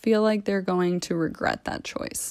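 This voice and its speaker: Here a woman talks in an American accent. The background is silent and the recording very clean. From US, Maryland (near DC). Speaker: blogger reading her own writing. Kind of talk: reading aloud.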